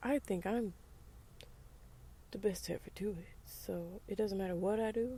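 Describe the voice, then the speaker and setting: An American accent at a moderate pace. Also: woman. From US South, rural. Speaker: podcaster. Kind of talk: casual monologue. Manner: casual, conversational.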